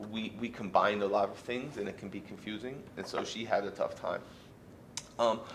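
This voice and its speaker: A loud man's voice, fairly low in pitch, at a moderate pace over noticeable background noise. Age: 40s. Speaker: fired teacher appealing dismissal. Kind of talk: grievance hearing testimony. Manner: halting, repetitive.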